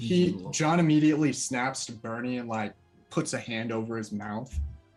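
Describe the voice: The voice does plain reading aloud.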